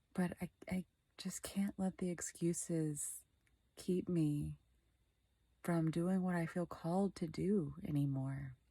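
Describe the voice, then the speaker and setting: A soft-spoken woman's fairly low, somewhat breathy voice, dark and mellow in tone, with fairly even intonation at a very slow pace. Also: dry, close sound with no echo, very clean recording, silent background. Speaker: vlogger. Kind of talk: personal vlog monologue. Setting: in bed, dark bedroom. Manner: quiet, soft-spoken.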